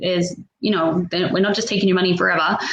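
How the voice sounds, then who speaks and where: A woman is speaking. She has an Australian accent. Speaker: online business owner hosting a panel. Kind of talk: video panel chat.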